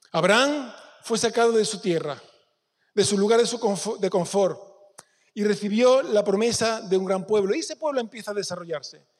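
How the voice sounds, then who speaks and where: This man speaks in a high pitch. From Spain, Córdoba province (Peñarroya). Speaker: pastor. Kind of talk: sermon.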